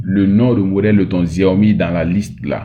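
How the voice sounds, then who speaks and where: Pitched fairly low, a man talks with fairly even intonation. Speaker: phone repair technician / tech tutor. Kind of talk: tutorial. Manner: slow, deliberate; hesitant, many fillers.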